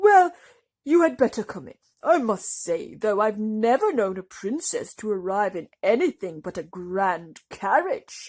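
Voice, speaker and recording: A put-on character voice, fairly high in pitch, at a moderate pace in a very clean recording with a silent background. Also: female-sounding voice. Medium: read story. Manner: warm, fatherly.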